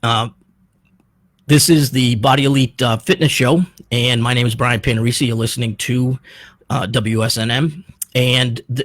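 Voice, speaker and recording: A man speaks at a moderate pace with a medium pitch, fairly even intonation and a somewhat breathy voice. The sound is dry and close with no echo, and he leaves long, frequent pauses. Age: 60s. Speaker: personal trainer and radio host. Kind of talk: radio show monologue. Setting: radio studio.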